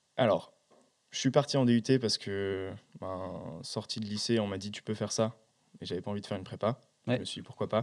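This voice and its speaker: A man talks at a fairly quick pace in a fairly low voice, with ordinary pitch variation. His loudness swings widely, long pauses come often, and the very clean recording has a silent background. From France, countryside near Besançon. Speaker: startup co-founder. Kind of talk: interview. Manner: hesitant, many fillers.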